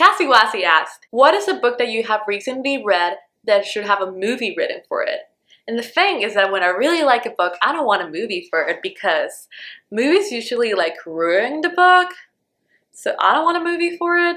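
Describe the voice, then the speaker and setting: A woman speaks fairly quickly with a Spanish accent, her tone bright and sharp. Her pitch is high and swings very widely. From Honduras. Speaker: book vlogger. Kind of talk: casual Q&A vlog.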